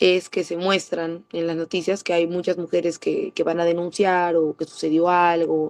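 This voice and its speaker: Speaking at a moderate pace, a woman delivers fairly low-pitched, monotone, flat speech in a dry, close sound with no echo. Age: 20s. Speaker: preschool teacher. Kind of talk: interview. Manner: halting, many fillers and restarts.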